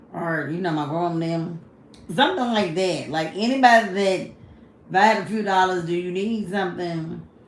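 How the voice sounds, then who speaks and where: A woman's fairly low voice with ordinary pitch variation, audible room echo and noticeable background noise. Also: moderate pace. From Kentucky, US South. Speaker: livestreamer. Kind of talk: casual livestream chat.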